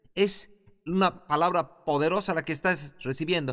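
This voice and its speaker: A man's speech, captured on a very clean recording with a silent background. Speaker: Bible institute teacher. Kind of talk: lecture.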